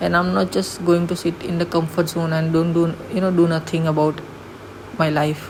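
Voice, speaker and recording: A woman with a non-native accent speaks at a fairly slow pace in a fairly low, monotone pitch with flat intonation. Audible room echo and noticeable background noise surround her voice. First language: not English. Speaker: vlogger. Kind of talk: motivational vlog monologue.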